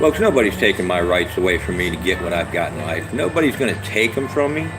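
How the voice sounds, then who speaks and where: A man with lively intonation over music in the background. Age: 60s. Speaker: self-styled prophet vlogger. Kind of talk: livestream monologue. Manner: animated.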